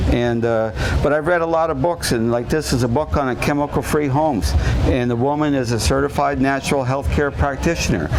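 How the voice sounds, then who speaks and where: A man talks at a fairly quick pace in a medium pitch, with ordinary pitch variation and very even loudness. Audible room echo and noticeable background noise fill the recording. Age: 60s. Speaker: renovation contractor giving a health talk. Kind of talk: public talk. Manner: conversational with fillers.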